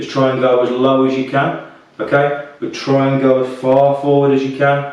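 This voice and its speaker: A man with a British accent speaks at a fairly high pitch. Audible room echo and noticeable background noise fill the recording. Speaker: fitness instructor. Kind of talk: guided workout instruction. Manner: soft-spoken; calm, relaxed.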